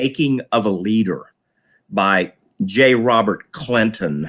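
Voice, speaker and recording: A man's plain, everyday voice, medium in pitch, with lively intonation. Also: very clean recording, silent background. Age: 60s. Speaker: public servant. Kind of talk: casual chat.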